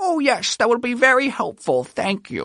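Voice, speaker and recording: The speaker uses a put-on character voice at a fairly high pitch. The pace is moderate. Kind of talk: polite, overly courteous. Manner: put-on silly voice.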